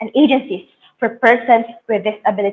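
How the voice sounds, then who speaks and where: A woman with a Filipino accent. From Philippines, Bicol region. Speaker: youth competition presenter. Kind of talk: presentation speech.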